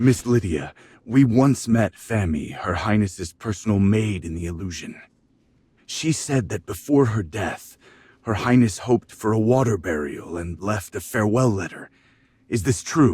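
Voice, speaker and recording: A man's put-on character voice, fairly low in pitch, at a moderate pace, on a very clean recording with a silent background. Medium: video game. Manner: gentle, earnest.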